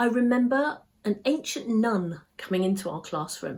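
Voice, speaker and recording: A woman speaks in a somewhat breathy voice. Her pitch swings very widely. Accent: British. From England. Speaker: English teacher. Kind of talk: exam practice answer. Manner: clear, measured pace.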